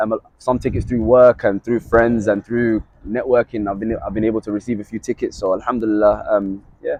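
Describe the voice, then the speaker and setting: With a London accent, the speaker moves at a fairly quick pace in a monotone, flat intonation. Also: man, medium pitch for a man. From London, England. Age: 20s. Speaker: sports journalist. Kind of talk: casual chat.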